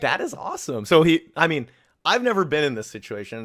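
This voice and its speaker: Very fast male speech on a very clean recording with a silent background. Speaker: podcast host and IRL live streamer. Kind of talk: casual chat. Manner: loud.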